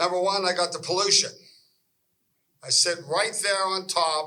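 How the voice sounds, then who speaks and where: Fairly slow speech from a man with an American accent. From western Pennsylvania. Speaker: local resident. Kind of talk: public meeting comment. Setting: public meeting hall. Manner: animated.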